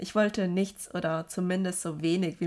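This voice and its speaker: With a normal speaking voice, a woman talks at medium pitch and a moderate pace, her intonation fairly even, on a very clean recording with a silent background. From Germany. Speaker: podcaster. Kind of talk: personal monologue.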